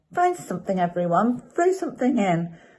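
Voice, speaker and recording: A female-sounding, put-on character voice at a moderate pace, medium in pitch for a woman. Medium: read story.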